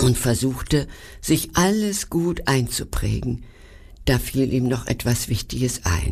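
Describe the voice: The pitch rises and falls in a lively way. It is plain reading aloud.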